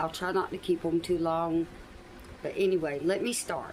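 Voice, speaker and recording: A woman speaks with a Southern US accent. Her voice is fairly low, with fairly even intonation. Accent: Southern US (Georgia). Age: 70s. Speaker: YouTuber telling life story. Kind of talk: personal storytelling monologue.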